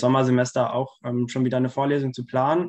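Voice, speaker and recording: A man speaks at a fairly quick pace with a quiet background behind him. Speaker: student organizer hosting a lecture. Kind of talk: introductory remarks to online lecture audience. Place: home room. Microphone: video call.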